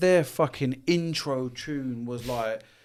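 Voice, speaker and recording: Over a silent background in a very clean recording, a man with a London accent speaks at a medium pitch with ordinary pitch variation. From London, England. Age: 40s. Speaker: business consultant. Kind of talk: podcast interview. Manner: animated.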